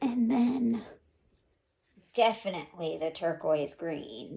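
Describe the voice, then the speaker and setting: A woman's somewhat breathy, dark and mellow voice at a medium pitch, very slow, with long, frequent pauses and lively intonation. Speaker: fluid art painter, craft youtuber. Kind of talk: tutorial. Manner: casual, thinking aloud.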